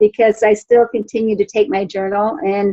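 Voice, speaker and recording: The sound is dry and close, with no echo. A woman speaks in a normal speaking voice, fairly high in pitch and at a fairly slow pace. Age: 60s. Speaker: program participant. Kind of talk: testimony. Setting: video call.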